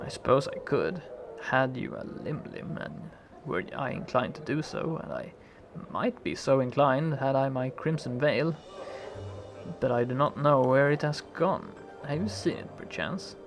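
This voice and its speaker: A man's put-on character voice, fairly high-pitched and hissing, at a moderate pace over clear background noise. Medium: solo performance. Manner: languid, elegant, archaic phrasing.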